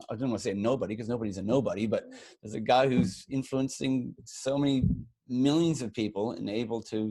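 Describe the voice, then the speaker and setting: This man speaks at a medium pitch. His tone is dark and mellow. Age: 50s. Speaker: podcast co-host, entrepreneur. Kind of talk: casual chat. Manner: halting, many repeated words.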